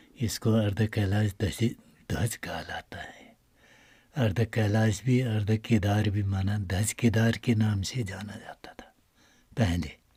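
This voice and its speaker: A man speaks in a dark, mellow tone, somewhat breathy and fairly low in pitch, with fairly even intonation. The recording is very clean and the background silent. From Uttarakhand, India. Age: 60s. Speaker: temple priest. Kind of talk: interview. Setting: inside a cave shrine.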